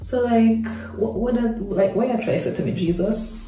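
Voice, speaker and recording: Music plays in the background as a woman talks at a moderate pace. Her pitch varies in an ordinary way, and audible room echo can be heard. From Jamaica. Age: 20s. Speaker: hair and beauty vlogger. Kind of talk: casual talk to camera. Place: bathroom. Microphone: phone near.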